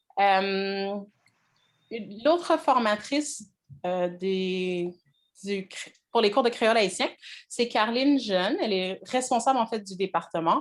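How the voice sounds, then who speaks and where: A woman at medium pitch, speaking at a very slow pace with long, frequent pauses. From Quebec, Montreal. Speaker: language teacher. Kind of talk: online class introduction. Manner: hesitant, many fillers.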